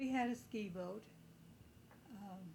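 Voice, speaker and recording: Her voice is somewhat breathy and fairly high, a woman whose pitch varies in an ordinary way. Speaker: family member recounting memories. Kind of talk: casual reminiscing interview.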